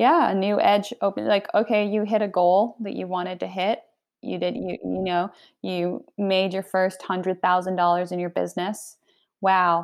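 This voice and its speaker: A woman's medium-pitched speech in a normal speaking voice, at a moderate pace with fairly even intonation. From Argentina, raised in Canada and US. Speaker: author and women's leadership coach. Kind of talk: casual chat. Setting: remote call, at home.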